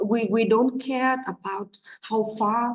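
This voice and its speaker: A woman talks in a somewhat breathy voice with a Vietnamese accent. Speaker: English teacher. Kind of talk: teacher training talk. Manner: halting, many fillers.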